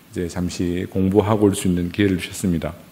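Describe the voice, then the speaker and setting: This man talks at a fairly quick pace, and audible room echo fills the recording. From South Korea, Gyeongsang region. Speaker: pastor. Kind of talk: sermon.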